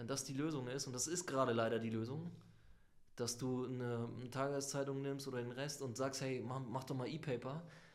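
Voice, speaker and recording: A man talks at a moderate pace with fairly even intonation, and audible room echo fills the recording. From northern Germany, Lübeck. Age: middle-aged. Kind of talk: interview.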